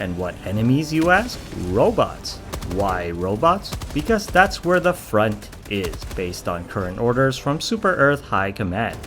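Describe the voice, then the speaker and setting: A man speaks at a fairly slow pace with very wide pitch swings. Noticeable background noise runs behind him. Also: medium pitch for a man. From Canada. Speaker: gaming YouTuber. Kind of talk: mockumentary game review narration.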